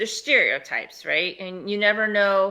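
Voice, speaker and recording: A woman with a Southern US accent speaks at a moderate pace in a bright, sharp tone, recorded very cleanly over a silent background. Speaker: podcast co-host. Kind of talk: casual chat.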